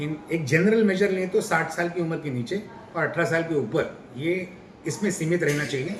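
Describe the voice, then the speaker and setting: Noticeable background noise fills the recording along with audible room echo. Through it, a man talks. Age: 60s. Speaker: doctor. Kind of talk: interview.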